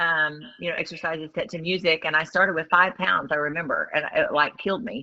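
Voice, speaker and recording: A woman speaks at a fairly quick pace with hardly any pauses, in a normal speaking voice. Her pitch is fairly low, with ordinary pitch variation. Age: 50s. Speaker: retired educator, online business owner. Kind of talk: casual interview chat.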